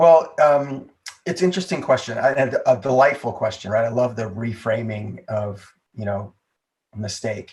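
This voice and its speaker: A somewhat breathy voice with lively intonation. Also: man, medium pitch for a man, moderate pace. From United States, moved around (West, East, South). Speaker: entrepreneur and improv comedy business founder. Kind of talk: podcast interview.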